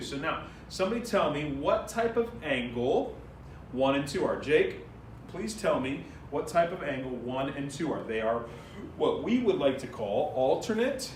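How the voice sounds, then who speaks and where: A man speaks with very wide pitch swings. Audible room echo and noticeable background noise surround him. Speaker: math teacher. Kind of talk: classroom lecture. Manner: fast.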